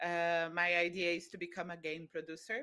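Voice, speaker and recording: Speaking with a Brazilian accent, a woman uses a fairly low pitch, a bright, sharp tone and flat, monotone intonation at a moderate pace. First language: Brazilian Portuguese. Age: 30s. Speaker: volunteer. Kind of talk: interview. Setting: live stream.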